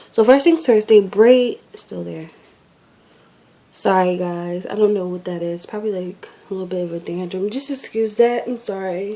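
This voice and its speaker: Noticeable background noise beneath speech of ordinary pitch variation. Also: woman. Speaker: beauty vlogger. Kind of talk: casual product review vlog. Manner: fast.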